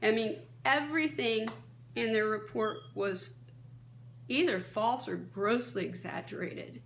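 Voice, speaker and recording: A woman's medium-pitched voice with vocal fry and very wide pitch swings, fairly slow with long, frequent pauses, in audible room echo. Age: 60s. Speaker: kratom advocate, vlogger. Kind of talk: advocacy monologue. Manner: impassioned.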